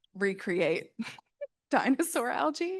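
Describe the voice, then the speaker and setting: A woman speaks at a moderate pace. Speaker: scientist. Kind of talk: panel discussion. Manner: loud.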